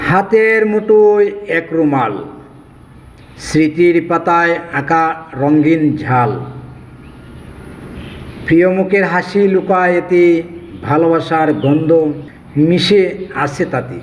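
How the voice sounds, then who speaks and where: A high-pitched man speaks with ordinary pitch variation amid noticeable background noise. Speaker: poet. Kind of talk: poetry reading. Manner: emotional.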